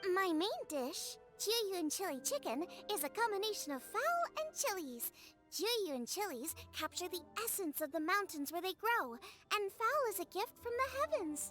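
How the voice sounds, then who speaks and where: A woman uses a put-on character voice, extremely high in pitch, with an upbeat tone. She keeps a moderate pace over clear music in the background. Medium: video game. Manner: bright, upbeat.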